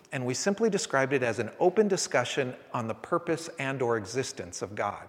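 A man speaks in an American accent at a moderate pace. His voice has vocal fry and very wide pitch swings. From San Francisco, California. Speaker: pastor. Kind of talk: sermon. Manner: halting.

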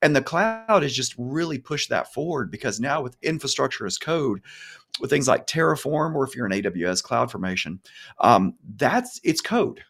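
A man talks in an enthusiastic tone at a moderate pace, with a fairly high pitch and vocal fry. His pitch swings very widely. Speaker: senior cloud technologist. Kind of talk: live tech panel discussion.

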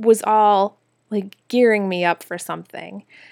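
A woman speaks in an ordinary speaking voice with a medium pitch and fairly even intonation. The recording is very clean, with a silent background. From Minnesota, US Midwest. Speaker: wardrobe stylist and podcast host. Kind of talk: casual solo monologue. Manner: casual, many filler words.

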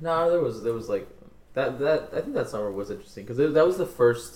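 A man speaks very fast. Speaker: podcast co-host. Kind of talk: casual chat.

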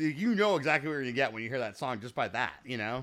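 The speaker talks at a fairly quick pace in an American accent. It is a plain, everyday voice. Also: man, very clean recording, silent background. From Chicago suburbs, US Midwest. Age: 40s. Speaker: musician. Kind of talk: casual chat.

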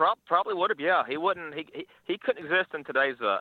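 A man speaks with an Arkansas accent. His pace is very fast. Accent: Southern US (Arkansas). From northeast Arkansas (Paragould area). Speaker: radio caller. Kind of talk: casual sports talk call-in. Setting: phone call.

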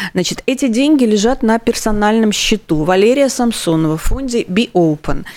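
A woman's fairly high voice with lively intonation and very even loudness, moderate in pace with hardly any pauses, over noticeable background noise. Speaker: radio host. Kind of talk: charity radio show.

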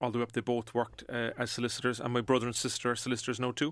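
A man talks in a Cork accent. His pitch is medium. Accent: Cork Irish. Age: 40s. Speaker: entrepreneur. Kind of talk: casual interview chat.

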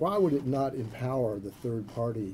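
This man's voice is somewhat breathy, with a dark, mellow tone. He speaks at a moderate pace in a medium pitch. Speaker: center director and event moderator. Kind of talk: event introduction. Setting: stage with audience. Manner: halting, many fillers.

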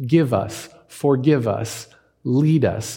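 A man with a fairly high, somewhat breathy voice talks at a very slow pace. His intonation is lively. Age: 40s. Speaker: pastor. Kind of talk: sermon.

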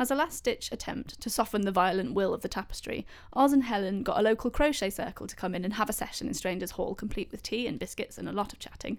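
A woman talks very fast with hardly any pauses, her fairly high pitch varying in an ordinary way. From Leicester, English Midlands. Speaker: podcast host and storyteller. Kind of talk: storytelling narration.

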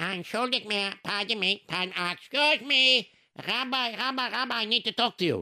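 A high-pitched put-on character voice from a man, raised and projected, at a moderate pace on a very clean recording with a silent background. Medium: read story. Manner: insistent, hospitable.

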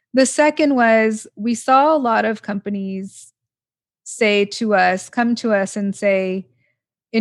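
In an American accent, the speaker talks at a very slow pace against a quiet background. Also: woman. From Los Angeles, US. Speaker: oncologist and drug regulator. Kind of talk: interview.

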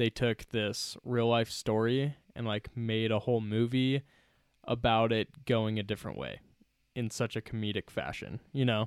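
A plain, everyday voice from a man at medium pitch, fairly even in intonation, dry and close with no echo on a very clean recording with a silent background. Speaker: film review podcast host. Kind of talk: casual chat.

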